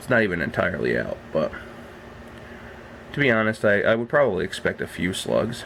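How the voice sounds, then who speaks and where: Amid noticeable background noise, a man speaks at a fairly quick pace broken by long, frequent pauses. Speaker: reptile breeder vlogger. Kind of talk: casual vlog.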